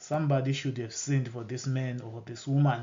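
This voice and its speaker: Here a man with a Zimbabwean accent speaks at medium pitch, somewhat breathy and fairly quick. His intonation is monotone and flat, and the room echo is audible. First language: Shona. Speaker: bible teacher. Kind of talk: bible teaching lecture. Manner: halting, with repetitions and self-corrections.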